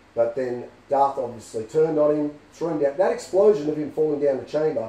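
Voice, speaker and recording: An Australian accent marks this man's fairly high-pitched voice, which has ordinary pitch variation over noticeable background noise. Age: 50s. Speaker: film fan. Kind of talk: casual fan theory talk to camera.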